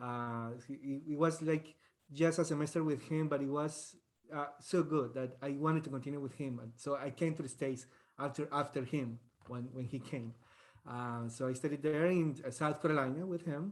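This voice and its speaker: A man speaks at a fairly high pitch with a strong Colombian accent. His intonation is fairly even. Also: moderate pace. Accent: thick Colombian Spanish. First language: Spanish. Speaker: trumpet professor. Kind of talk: guest talk in online masterclass. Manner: halting, many fillers and repetitions.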